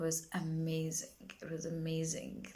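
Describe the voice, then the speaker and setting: This woman speaks in a South African accent, her pitch fairly low. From South Africa, Durban. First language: isiZulu. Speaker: singer-songwriter. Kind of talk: casual vlog monologue. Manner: halting, many fillers and repetitions.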